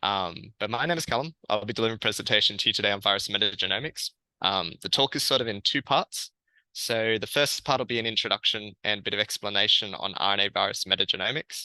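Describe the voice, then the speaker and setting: With an Australian accent, a man talks very fast in a bright, sharp, fairly low voice with ordinary pitch variation, the sound dry and close with no echo against a quiet background. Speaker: researcher. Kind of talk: lecture.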